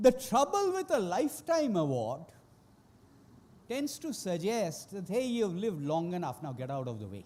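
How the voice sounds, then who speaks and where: Amid noticeable background noise, a man speaks at a high pitch with very wide pitch swings and big swings in loudness. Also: moderate pace. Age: 60s. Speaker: economist. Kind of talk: award acceptance speech.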